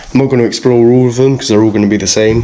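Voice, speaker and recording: A man is heard talking with light background noise present. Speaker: urban explorer vlogger. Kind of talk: casual vlog chat. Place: empty room. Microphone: phone near.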